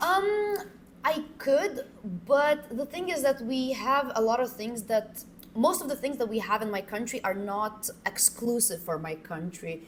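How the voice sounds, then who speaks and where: With noticeable background noise behind her, a woman speaks in a high pitch that swings very widely. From Lithuania. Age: 20s. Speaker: exchange student. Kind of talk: podcast interview. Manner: halting, many fillers.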